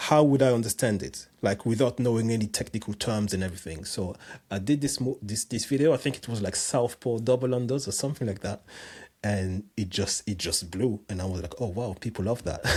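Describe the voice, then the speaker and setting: A man with a French accent talks at a fairly quick pace, his medium-pitched voice dark, mellow and somewhat breathy, with ordinary pitch variation on a very clean recording over a silent background. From France, Cameroonian parents. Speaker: jump rope coach and personal trainer. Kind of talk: podcast interview. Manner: halting, many repetitions.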